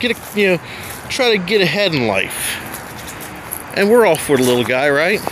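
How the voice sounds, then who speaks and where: The sound is dry with no echo, and noticeable background noise is present. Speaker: urban explorer vlogger. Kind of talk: casual vlog narration. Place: street. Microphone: phone near.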